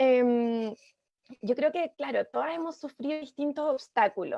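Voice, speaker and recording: A woman with a Chilean accent speaks in a high, shrill voice with ordinary pitch variation. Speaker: economist and mayoral candidate. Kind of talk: panel discussion. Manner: hesitant, many fillers.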